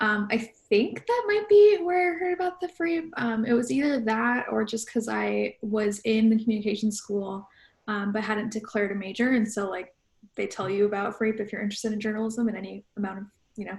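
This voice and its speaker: A woman with an American accent speaks at a fairly high pitch and a fairly quick pace, her voice somewhat breathy and her intonation lively. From US Midwest, Chicago suburbs. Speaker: pop culture journalist. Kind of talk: panel discussion.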